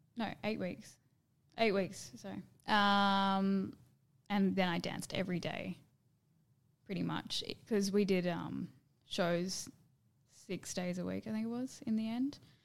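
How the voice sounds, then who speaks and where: An Australian accent, fairly even intonation, and long, frequent pauses. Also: woman, medium pitch for a woman. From Perth, Western Australia. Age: 20s. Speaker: dancer and performer. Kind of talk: casual chat. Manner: soft-spoken.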